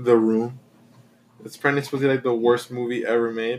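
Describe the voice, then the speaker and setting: Speaking with a Spanish accent, a man delivers his lines in a monotone, flat intonation. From Mexico. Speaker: podcast co-host. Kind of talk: casual chat.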